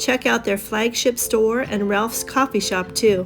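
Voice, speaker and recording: Music plays in the background as a woman with a fairly high pitch speaks at a moderate pace. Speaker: travel vlogger. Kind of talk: travel narration voice-over.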